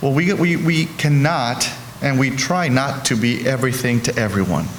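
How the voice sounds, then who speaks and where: Amid noticeable background noise and audible room echo, a man with a Spanish accent speaks at a very even loudness with ordinary pitch variation. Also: medium pitch for a man, moderate pace. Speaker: healthcare executive. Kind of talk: panel discussion. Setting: stage with audience.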